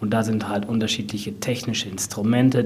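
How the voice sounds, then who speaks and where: A man talks with fairly even intonation. Audible room echo and noticeable background noise surround him. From Sauerland, Germany (Brilon). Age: 30s. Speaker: nature park manager. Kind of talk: interview.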